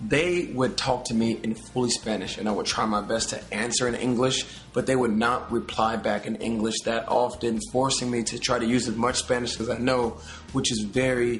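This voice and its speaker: Noticeable background noise sits behind a man speaking at a moderate pace. He has an American accent and a medium pitch. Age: 20s. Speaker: YouTube personality. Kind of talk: vlog. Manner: animated.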